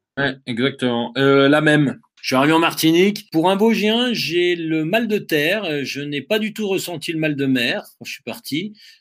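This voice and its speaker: With hardly any pauses, a man talks at a fairly slow pace and fairly high pitch, his intonation lively, in a very clean recording with a silent background. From Vosges, eastern France. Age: 40s. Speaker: ultra-trail runner and adventurer. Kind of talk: interview. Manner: hesitant, many fillers.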